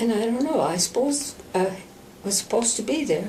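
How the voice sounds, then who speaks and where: With an American accent and lively intonation, a woman with a fairly high voice speaks at a moderate pace against noticeable background noise. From central Minnesota. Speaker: Benedictine nun. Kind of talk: oral history interview answer.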